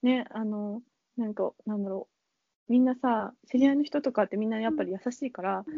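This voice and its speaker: This woman's voice is fairly high. Its pitch shifts by an ordinary amount. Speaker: pastry chef. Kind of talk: casual interview chat. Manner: halting, many fillers.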